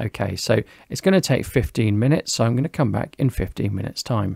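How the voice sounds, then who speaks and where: With a British accent, a man speaks at medium pitch in a dark, mellow tone, the sound dry and close with no echo. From UK. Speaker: tech reviewer. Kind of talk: product review tutorial. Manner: casual, conversational.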